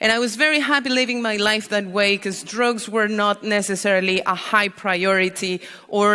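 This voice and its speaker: Noticeable background noise under a moderate pace with ordinary pitch variation. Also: woman. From Mexico, Mexico City. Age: 30s. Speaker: drug policy activist. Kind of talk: conference talk.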